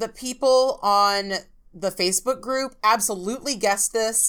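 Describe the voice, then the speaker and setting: An American-accented woman speaks at a fairly slow pace with an animated tone and ordinary pitch variation. The recording is very clean, with a silent background. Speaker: nail artist and podcast host. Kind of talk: casual chat. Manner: animated, chatty.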